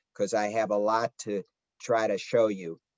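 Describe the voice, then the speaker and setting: At a fairly slow pace, a man with a Chicago accent speaks in a dry, close sound with no echo. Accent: Chicago twang. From Chicago area, US Midwest. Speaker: rabbi and history professor. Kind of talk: lecture. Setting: video call. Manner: halting, many filler words.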